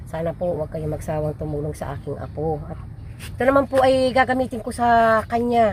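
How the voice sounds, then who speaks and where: Speaking at a fairly quick pace, a woman with a medium-pitched, somewhat breathy voice makes very wide pitch swings and big swings in loudness. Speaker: grandmother of a sick child. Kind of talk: casual conversation. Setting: at home.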